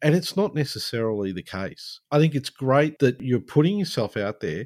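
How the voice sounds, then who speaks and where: With an Australian accent, a man speaks at a moderate pace and a medium pitch. His pitch swings very widely in a very clean recording with a silent background. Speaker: podcast host. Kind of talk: scripted intro and interview.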